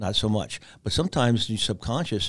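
In a very clean recording with a silent background, a man with an unremarkable speaking voice talks at a medium pitch and a fairly quick pace. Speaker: author and former Marine. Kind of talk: interview. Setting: studio.

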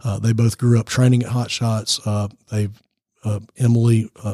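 A man talks in an American accent with a dark, mellow tone. His delivery is monotone and flat, and somewhat breathy. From US South, Georgia. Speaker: nonprofit founder, former youth minister. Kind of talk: radio interview. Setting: studio. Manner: preacher-like delivery.

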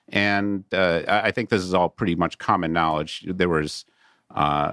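A man speaks at a moderate pace with fairly even intonation. The sound is dry and close, with no echo. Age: 50s. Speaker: debt investment company CEO and attorney. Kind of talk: interview. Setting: studio.

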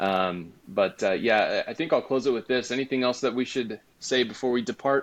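A man speaks in a normal speaking voice at medium pitch, with ordinary pitch variation and very even loudness. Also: moderate pace, hardly any pauses. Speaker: podcast host, mortgage professional. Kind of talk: podcast interview.

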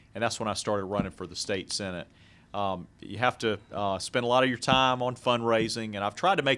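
An ordinary speaking voice with fairly even intonation comes through on a very clean recording against a silent background. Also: man. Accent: American. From Jacksonville, Florida. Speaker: lawyer and political candidate. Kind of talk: radio interview.

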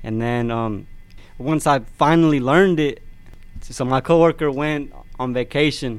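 Medium pitch and fairly even intonation from a man. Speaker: machine operator. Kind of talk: interview.

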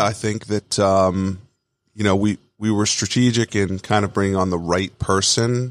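A man speaks in a normal speaking voice with a fairly low pitch, fairly even intonation and an American accent. The very clean recording has a silent background and a dry, close sound with no echo. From Long Island, New York. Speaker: restaurant franchise CEO. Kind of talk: interview.

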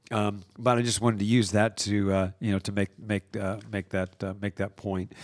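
Barely pausing, a man speaks at a fairly low pitch with monotone, flat intonation in a dry, close recording with no echo. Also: moderate pace. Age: 60s. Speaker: coach, host's husband. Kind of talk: casual conversation. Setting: studio.

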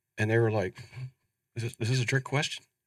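A man talks at a very fast pace with an American accent. The recording is very clean, with a silent background. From Ohio, US Midwest. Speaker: finance executive. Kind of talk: casual interview. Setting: studio, in person.

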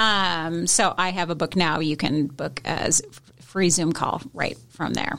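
A woman with an American accent and fairly low pitch speaks with vocal fry, ordinary pitch variation and hardly any pauses. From US Pacific Northwest, Seattle. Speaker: marketing agency owner. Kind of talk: casual interview chat. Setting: radio studio.

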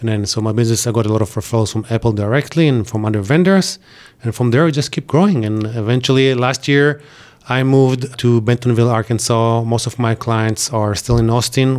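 A man with an Israeli accent talks at a fairly quick pace. His pitch is medium, with ordinary variation. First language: Hebrew. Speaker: IT company owner. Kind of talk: interview. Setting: studio. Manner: animated.

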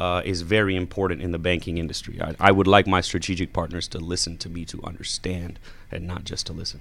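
Very fast and very deep, a man speaks in an American accent with monotone, flat intonation and big swings in loudness. Background noise is noticeable. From Georgia, US. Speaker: family business owner. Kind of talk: radio interview. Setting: studio.

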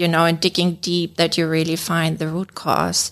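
This woman talks at a moderate pace with a German accent and a very deep, low pitch. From Germany. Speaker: management consultant. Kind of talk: radio interview. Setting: studio.

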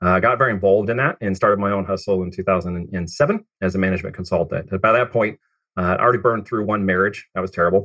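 A very fast pace in an American accent. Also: man, fairly low pitch for a man, fairly even intonation. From Oregon, US. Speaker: digital marketing agency CEO. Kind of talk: interview.

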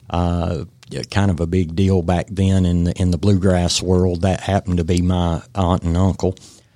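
With an Appalachian accent, this man talks in a very deep, low pitch and a monotone, flat intonation. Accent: Southern US (Appalachian). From Western North Carolina. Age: 50s. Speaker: realtor and veteran. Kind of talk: radio interview. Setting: radio studio. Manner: halting, many fillers.

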